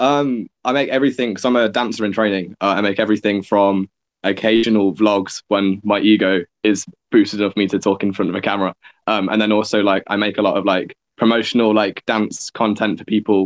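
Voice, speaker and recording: A man talks fairly quickly, keeping his intonation fairly even. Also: fairly low pitch for a man. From England (Nottingham). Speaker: dance student and video maker. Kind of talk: casual chat.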